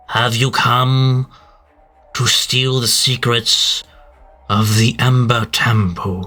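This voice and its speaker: A man puts on a booming character voice at medium pitch. He goes at a very slow pace with long, frequent pauses. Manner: imposing, questioning.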